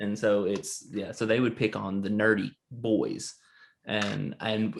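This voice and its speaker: A man with a Southern US accent speaks at a very slow pace. His medium-pitched voice sits over a quiet background. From US South. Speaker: podcast co-host. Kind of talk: casual chat.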